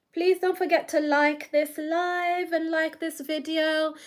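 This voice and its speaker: A woman is speaking. She goes at a fairly slow pace. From London, England. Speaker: YouTuber, blind mum vlogger. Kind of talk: casual livestream chat. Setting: live stream. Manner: chatty, hesitant with fillers.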